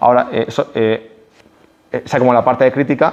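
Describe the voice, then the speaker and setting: A man, very fast pace, fairly even intonation. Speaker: speaker at a public talk. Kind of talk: public talk. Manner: halting.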